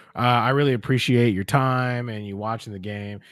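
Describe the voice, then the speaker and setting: A man speaks at a medium pitch and a moderate pace in a very clean recording with a silent background. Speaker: game master. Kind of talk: live stream sign-off. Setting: live stream with players on a call. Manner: loud.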